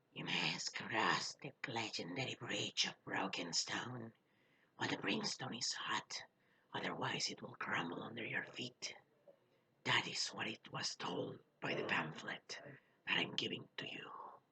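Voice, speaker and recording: A raspy, put-on character voice sits at a low-to-middle pitch. It moves at a moderate pace. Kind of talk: officious, pamphlet-handing.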